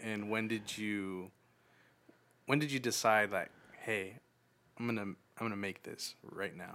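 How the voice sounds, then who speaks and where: A man with a bright, sharp tone and fairly low pitch holds a fairly even intonation, leaving long, frequent pauses. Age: 20s. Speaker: podcast host. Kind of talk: casual chat.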